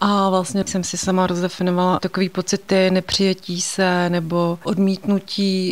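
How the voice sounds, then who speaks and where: Hardly pausing, a woman speaks at medium pitch and a moderate pace. Her intonation is monotone and flat. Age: 40s. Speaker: therapy client. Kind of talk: interview testimony.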